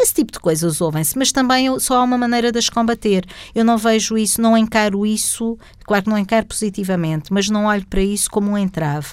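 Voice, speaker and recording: At a very fast pace, a woman speaks in a medium pitch. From Portugal, Setúbal district. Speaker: government secretary of state. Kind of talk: interview.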